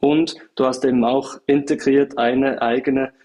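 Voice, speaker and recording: This man speaks in a monotone. His intonation stays flat throughout. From Switzerland, small village. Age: 20s. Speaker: startup founder and CEO. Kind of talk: interview. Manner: hesitant, many filler sounds.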